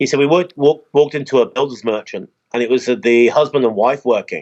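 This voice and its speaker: A man with a southern English accent speaks at a very fast pace. His pitch is fairly high. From England, Oxford. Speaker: expat resident. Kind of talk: casual chat.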